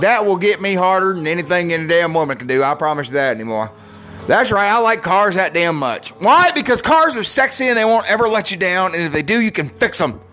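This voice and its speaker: A raised, projected, high-pitched male voice with an American accent, very wide pitch swings, and a fairly quick pace. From Michigan. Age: 40s. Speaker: podcast host. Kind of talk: casual solo monologue.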